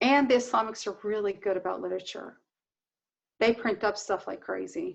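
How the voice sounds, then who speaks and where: A woman with a Southern US accent at a fairly quick pace, against a quiet background. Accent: Southern US twang. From US South. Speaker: Palestinian rights activist. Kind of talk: casual interview conversation.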